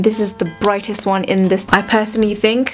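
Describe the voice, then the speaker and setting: A woman speaks at a fairly quick pace in a medium pitch, with music playing in the background. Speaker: beauty vlogger. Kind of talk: makeup tutorial. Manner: casual, chatty.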